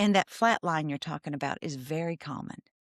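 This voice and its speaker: Recorded dry and close with no echo against a silent background, a woman speaks in a Southern US accent on a very clean recording. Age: 60s. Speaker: therapist. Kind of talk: interview. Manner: animated.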